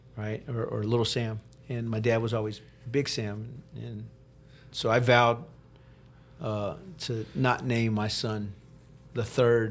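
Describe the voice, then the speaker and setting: In an American accent, a man speaks fairly slowly at a medium pitch, his intonation monotone and flat, with long, frequent pauses. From Texas, Galveston. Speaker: podcast host, Marine linguist. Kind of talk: casual interview chat. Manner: halting, many repeated words.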